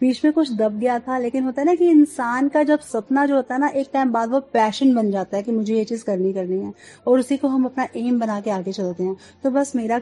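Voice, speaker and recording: Speaking with a Punjabi accent, a woman uses a fairly high pitch with ordinary pitch variation. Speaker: radio jockey. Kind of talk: interview.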